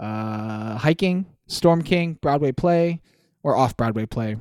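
A man's ordinary speaking voice, fairly high and fairly slow with lively intonation, on a very clean recording with a silent background and a dry, close sound with no echo. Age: 20s. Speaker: podcast co-host. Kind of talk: casual chat.

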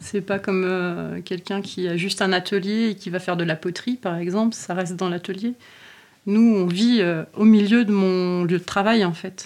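A woman speaking at a fairly slow pace with fairly even intonation, in a very clean recording against a silent background. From rural France. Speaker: farmer. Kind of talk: interview.

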